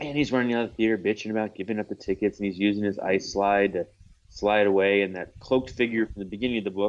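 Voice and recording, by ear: Natural read-aloud delivery with fairly level intonation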